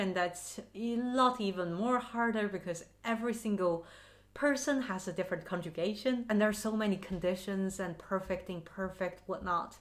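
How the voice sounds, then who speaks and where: Moderate pace from a woman of medium pitch, in a Mandarin accent with ordinary pitch variation. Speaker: language learning vlogger. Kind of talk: casual vlog talk to camera. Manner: animated.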